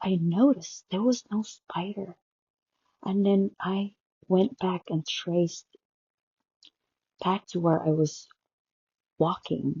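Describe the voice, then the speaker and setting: A woman speaks at a very slow pace and a medium pitch. Her voice is somewhat breathy, with fairly even intonation. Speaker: healthcare worker. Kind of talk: personal story told casually.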